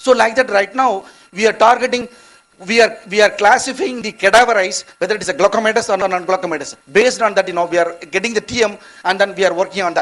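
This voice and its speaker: At a very fast pace, a man talks in a high voice with ordinary pitch variation. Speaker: eye research scientist. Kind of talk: conference lecture. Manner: halting.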